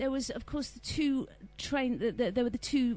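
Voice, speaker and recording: A woman's somewhat breathy, dark, mellow voice at a fairly quick pace. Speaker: interviewer. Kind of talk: interview question.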